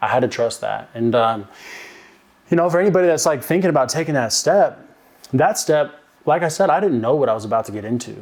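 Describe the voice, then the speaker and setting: Talking at a very fast pace yet with long, frequent pauses, a man with a fairly high pitch uses lively intonation. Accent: American. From Oklahoma (Davis, small town). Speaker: recovery podcast guest, software account executive. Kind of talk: casual interview, recovery testimony.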